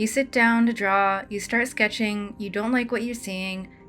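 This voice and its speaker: Over music in the background, a woman speaks in a relaxed tone at a moderate pace, with a medium pitch and fairly even intonation. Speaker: storyboard artist. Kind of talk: casual tutorial talk over drawing. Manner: casual, relaxed.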